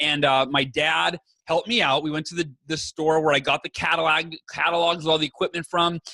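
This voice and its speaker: Speaking at a fairly quick clip with an American accent, a man with a fairly high pitch has a bright, sharp tone, fairly even intonation, and a dry, close sound with no echo. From Northern California. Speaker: author and keynote speaker. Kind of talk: interview. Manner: fast.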